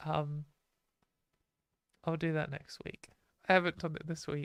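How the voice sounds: A woman speaks at a fairly slow pace in a low voice with vocal fry and little pitch movement, the sound dry and close with no echo.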